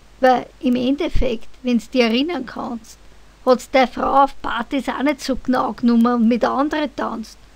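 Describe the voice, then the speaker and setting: A woman with a Viennese accent, high in pitch, fairly even in intonation, at a fairly slow pace. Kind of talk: poetry reading.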